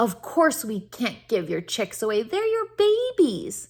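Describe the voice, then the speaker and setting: This woman does a put-on character voice pitched high. She speaks at a fairly slow pace. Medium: read story.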